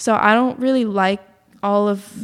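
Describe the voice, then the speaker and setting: A woman speaks with an ordinary speaking voice at medium pitch. Her pace is fairly slow and her intonation fairly even. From Massachusetts, Boston area. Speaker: musician and yoga teacher. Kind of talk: casual interview.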